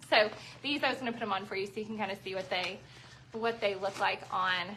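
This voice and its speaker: Noticeable background noise surrounds a woman speaking in a Southern US accent. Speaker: shoe store owner selling live. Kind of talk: live sales stream. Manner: chatty, conversational.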